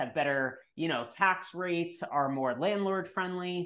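A plain, everyday voice from a man, with ordinary pitch variation at a moderate pace. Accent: American. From New York. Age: 30s. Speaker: real estate investor. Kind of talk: interview.

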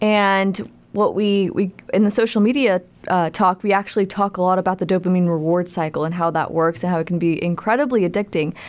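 A woman has a plain, everyday voice at medium pitch with ordinary pitch variation and very even loudness. She speaks at a fairly quick pace in a very clean recording with a silent background. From Texas, Tyler. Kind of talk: radio interview. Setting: studio.

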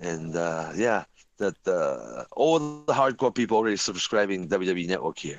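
A man with a Japanese accent talks at a fairly slow pace, his fairly low voice carrying lively intonation. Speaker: wrestling journalist and announcer. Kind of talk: casual chat. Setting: remote call. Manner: halting.

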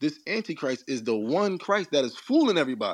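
A man's animated tone with very wide pitch swings, at a fairly quick pace, over a quiet background. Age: 40s. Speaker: caller with alternative spiritual beliefs. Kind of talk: heated religious discussion.

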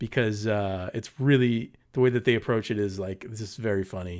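Against a silent background in a very clean recording, a man speaks with a Californian accent at medium pitch. He keeps a moderate pace and ordinary pitch variation. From Southern California, Paramount. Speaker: podcast co-host, film reviewer. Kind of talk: casual chat.

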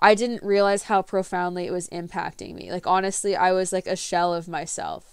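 Monotone, flat delivery at a moderate pace with hardly any pauses, on a very clean recording with a silent background. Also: woman, medium pitch for a woman. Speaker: podcast host. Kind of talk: unscripted solo monologue. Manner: rambling stream of consciousness.

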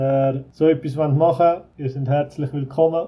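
This man has an ordinary speaking voice with a fairly high pitch. His intonation is fairly even and his pace fairly slow. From Switzerland, Zurich Oberland. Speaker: resort owner, emigrant. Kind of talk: casual interview. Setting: video call.

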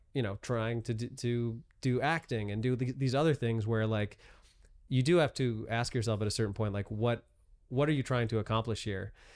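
An unremarkable speaking voice from a man, medium in pitch with ordinary variation, at a fairly quick pace, in a very clean recording with a silent background. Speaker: stand-up comedian. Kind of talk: casual chat.

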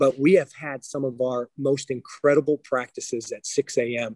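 A man with an American accent and a normal speaking voice talks at a medium pitch and a moderate pace, his intonation fairly even and his loudness swinging widely, in a dry, close sound with no echo. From western Pennsylvania. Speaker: high school basketball coach. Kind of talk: interview.

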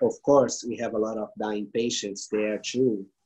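Using a Brazilian accent, a man speaks fairly slowly at a medium pitch with fairly even intonation. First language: Portuguese. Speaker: palliative care foundation leader. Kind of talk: interview. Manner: halting.

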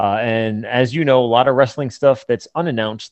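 A plain, everyday voice from a man, medium in pitch, with ordinary pitch variation at a moderate pace. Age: 40s. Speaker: toy company representative. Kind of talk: sales pitch; casual chat.

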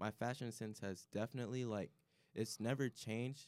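With an American accent and an ordinary speaking voice, a man talks at a moderate pace and medium pitch, recorded dry and close with no echo. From Chicago area. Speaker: college student. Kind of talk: casual chat.

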